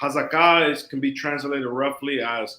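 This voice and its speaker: At a fairly slow pace, a man with a fairly high voice talks in a monotone, flat intonation. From Miami, US, Dominican family. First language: Spanish. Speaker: rabbi and scholar. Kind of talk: interview.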